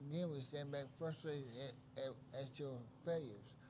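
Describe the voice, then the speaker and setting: A man with an American accent speaks at a fairly high pitch, with a dark, mellow tone and a somewhat breathy quality. His pitch varies in an ordinary way, and audible room echo surrounds him. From West Virginia. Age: 70s. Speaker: stream host. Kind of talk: casual chat.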